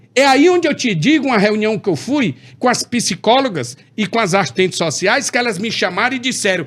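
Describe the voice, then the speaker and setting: A man speaks at a moderate pace in a high voice with very wide pitch swings. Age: 60s. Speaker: politician. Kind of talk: interview. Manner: animated.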